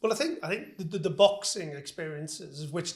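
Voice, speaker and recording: With a somewhat breathy voice, this man talks very quickly. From northern England, Liverpool. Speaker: business executive. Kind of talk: interview. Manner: hesitant, repeats words.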